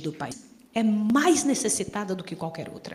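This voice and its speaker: A woman at a medium pitch with lively intonation and audible room echo. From Brazil. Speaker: volunteer missionary. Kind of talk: sermon.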